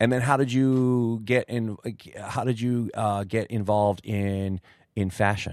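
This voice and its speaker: A man with a plain, everyday voice talks at a medium pitch and a fairly slow pace. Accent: American. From United States. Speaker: podcast host. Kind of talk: interview. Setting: hotel.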